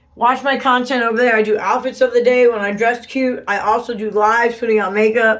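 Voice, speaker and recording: Speaking at a fairly quick pace, a woman uses an ordinary speaking voice. Her pitch is fairly high and her intonation fairly even. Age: 40s. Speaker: vlogger. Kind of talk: casual vlog. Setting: bathroom at home. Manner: chatty.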